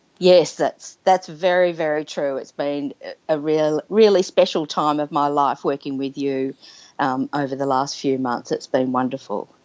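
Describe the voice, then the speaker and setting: Speaking with an Australian accent, a woman with a very deep, low voice talks at a moderate pace with ordinary pitch variation. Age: 50s. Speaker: nurse sharing her story. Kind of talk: interview testimony. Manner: halting, many fillers.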